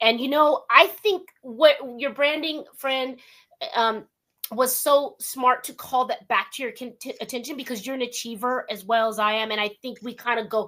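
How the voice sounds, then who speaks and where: A woman with an American accent speaks in a raised, projected voice at a high pitch, bright and sharp in tone and animated, with big swings in loudness, ordinary pitch variation and a moderate pace. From Southern California (West Covina). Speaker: radio talk show host. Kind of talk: interview.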